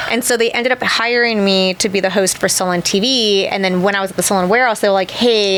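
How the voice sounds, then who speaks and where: A woman talks at a very fast pace in an animated tone. Her pitch is medium, with noticeable background noise behind her. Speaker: cosmetic tattoo artist and convention host. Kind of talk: casual interview chat. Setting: studio.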